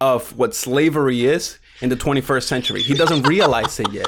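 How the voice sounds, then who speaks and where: A man at a moderate pace, fairly high pitch and ordinary pitch variation, amid noticeable background noise. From Puerto Rico. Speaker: YouTube gaming content creator. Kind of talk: casual interview chat.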